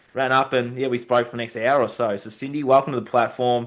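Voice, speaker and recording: Speaking very fast, a man with an Australian accent holds a medium pitch. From Australia (Bendigo, Victoria). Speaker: podcast host. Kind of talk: podcast interview.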